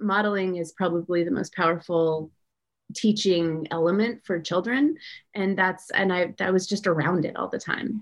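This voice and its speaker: A woman's plain, everyday voice, medium in pitch, with ordinary pitch variation, a moderate pace and an American accent. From US West Coast. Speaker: entrepreneur. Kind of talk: casual chat.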